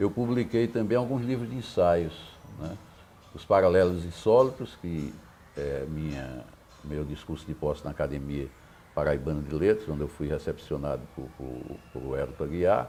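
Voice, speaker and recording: A man with a very deep, low pitch and a dark, mellow tone speaks at a moderate pace, with vocal fry, very wide pitch swings and big swings in loudness. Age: 70s. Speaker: poet and academic. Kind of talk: interview.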